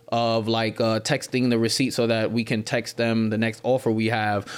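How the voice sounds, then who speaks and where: A man with an American accent has an unremarkable speaking voice at medium pitch. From US East Coast. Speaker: freelance marketer. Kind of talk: casual interview chat.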